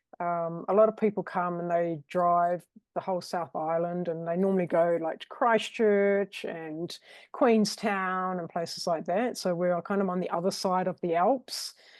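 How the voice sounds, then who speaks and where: A woman with a New Zealand accent, fairly low in pitch, with fairly even intonation and a quiet background. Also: moderate pace. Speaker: virtual assistant. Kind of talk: casual interview chat.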